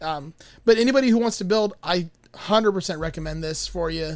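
A man with an American accent, fairly quick pace, and ordinary pitch variation. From Miami, Florida. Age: 40s. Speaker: guitar pedal builder. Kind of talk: casual chat.

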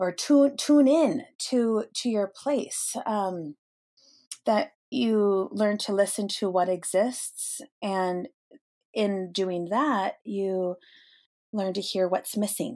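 A woman with an American accent, medium in pitch and dark, mellow in tone, with lively intonation and a very slow pace, on a very clean recording with a silent background. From US Pacific Northwest, Snohomish, Washington. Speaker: eco-theologian and pilgrimage guide. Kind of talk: interview conversation. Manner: halting, many fillers.

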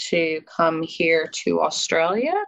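A woman speaks with a General American accent. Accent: mild general American, Midwest-like. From California, US. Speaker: life coach and former project manager. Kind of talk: casual interview, storytelling. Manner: informal, hesitant with fillers.

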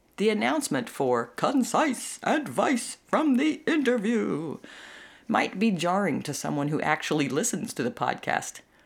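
On a very clean recording with a silent background, a woman speaks with vocal fry and very wide pitch swings. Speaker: podcast host. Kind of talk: solo monologue podcast.

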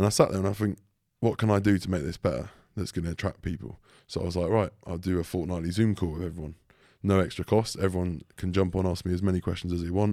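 A man talks at a very fast pace with a very deep, low pitch and a dark, mellow tone. His intonation is fairly even, and the recording is very clean with a silent background. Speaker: online fitness coach, podcast co-host. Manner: casual, conversational.

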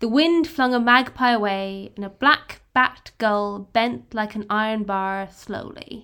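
With an Irish accent, a woman speaks at a fairly high pitch with ordinary pitch variation. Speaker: podcast co-host. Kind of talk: casual chat.

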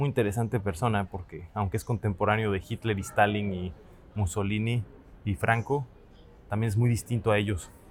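A man with a Mexican accent speaks at a moderate pace and a fairly low pitch. His voice is somewhat breathy, his intonation fairly even. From Mexico. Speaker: podcast host. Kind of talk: solo travel and history narration.

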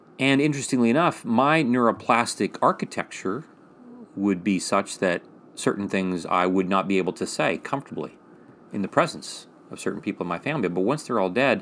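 In a normal speaking voice, a man with fairly low pitch talks at a moderate pace with lively intonation. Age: 50s. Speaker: psychiatrist and podcast co-host. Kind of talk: casual educational conversation.

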